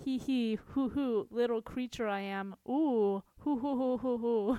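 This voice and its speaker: A woman's high, put-on character voice, playful in tone, at a fairly slow pace. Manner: cackling, playful.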